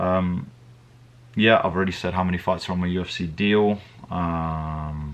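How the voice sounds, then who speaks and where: With a strong British accent, a man speaks at a moderate pace in a very deep, low pitch, his intonation fairly even and his pauses long and frequent. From England. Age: 20s. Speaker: MMA fighter. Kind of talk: casual Q&A vlog. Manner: hesitant, many fillers and repetitions.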